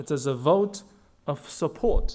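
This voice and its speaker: A man is speaking. He has a Chinese accent. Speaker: diplomat. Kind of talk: formal speech. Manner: formal.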